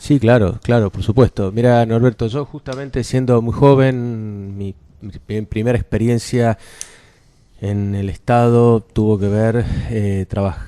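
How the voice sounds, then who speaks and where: Man of medium pitch at a fairly slow pace with fairly even intonation. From Argentina, Córdoba. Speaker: cultural venue director. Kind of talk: radio interview.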